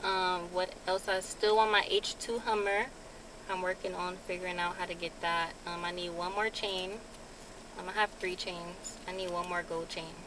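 A woman talks at a moderate pace with monotone, flat intonation. The sound is dry with no echo, and there is noticeable background noise. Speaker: vlogger. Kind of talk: casual vlog chat. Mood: happy, a bit shy. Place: car. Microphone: phone near.

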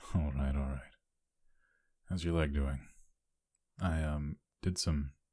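A man speaks slowly in a very deep, low, somewhat breathy voice with flat, monotone intonation. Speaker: ASMR voice actor playing a hero character. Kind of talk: whispered ASMR roleplay, scripted scenario as a caring hero. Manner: intimate, low-key, caring bedside tone.

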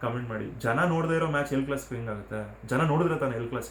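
A man with a Telugu accent and ordinary pitch variation, amid noticeable background noise and audible room echo. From Karnataka, Telugu-speaking family. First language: Telugu (speaking Kannada). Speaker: YouTuber, cricket commentator. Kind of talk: casual match review vlog. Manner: casual, self-correcting.

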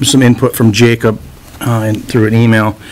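A man speaks with monotone, flat intonation. Light background noise is present. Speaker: town administrator. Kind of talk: public meeting report. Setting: town meeting room. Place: meeting room.

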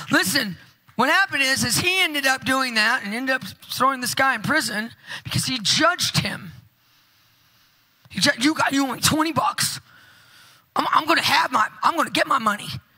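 A woman talks in a raised, projected voice at a fairly quick pace. Behind her, the background is quiet. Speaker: conference preacher. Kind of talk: sermon. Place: church. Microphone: handheld.

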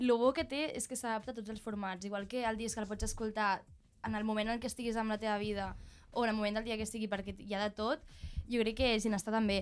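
Very fast speech in a Barcelona accent, flat and monotone. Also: woman, fairly high pitch for a woman. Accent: Catalan, Barcelona. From Sant Andreu, Barcelona; Catalonia, Spain. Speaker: musician. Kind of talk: casual chat. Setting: studio. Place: studio. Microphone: studio mic.

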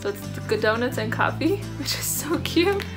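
A woman's voice over loud background music. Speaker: vlogger. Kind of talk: casual vlog chat. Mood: cheerful, chatty. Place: home room. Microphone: phone near.

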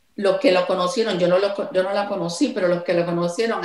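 A woman in a Puerto Rican accent, fairly even in intonation, with audible room echo against a quiet background. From Puerto Rico. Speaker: songwriter; interviewee. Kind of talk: interview. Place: home room. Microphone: video call.

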